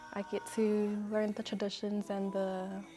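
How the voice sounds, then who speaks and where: Music plays in the background. A woman with a medium pitch speaks in a monotone, flat intonation. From New Zealand. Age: 20s. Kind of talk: interview answer.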